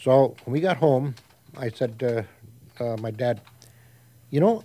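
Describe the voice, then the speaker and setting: A man speaks at medium pitch and a moderate pace in an Upper Midwest accent, with ordinary pitch variation. Noticeable background noise runs underneath. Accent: Upper Midwest (Minnesota). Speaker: community elder. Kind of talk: storytelling.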